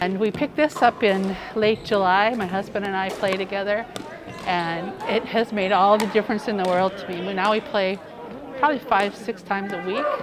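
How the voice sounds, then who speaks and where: Noticeable background noise surrounds a woman's voice. She talks at a fairly quick pace with ordinary pitch variation. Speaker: senior pickleball player. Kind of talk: interview.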